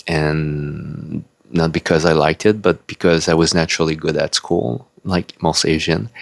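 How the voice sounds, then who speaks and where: The speaker talks at a moderate pace with a French-Canadian accent. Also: man. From Quebec, Canada. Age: 40s. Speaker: YouTuber and self-published author. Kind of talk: casual unedited vlog monologue. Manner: halting, many fillers.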